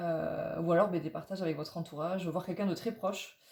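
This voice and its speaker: Somewhat breathy and dark, mellow in tone, a woman's medium-pitched voice moves with fairly even intonation. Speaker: tarot reader. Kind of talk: tarot reading guidance video. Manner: fast; halting, many fillers.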